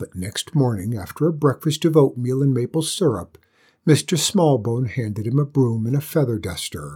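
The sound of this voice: An unforced reading voice, its pitch varying by an ordinary amount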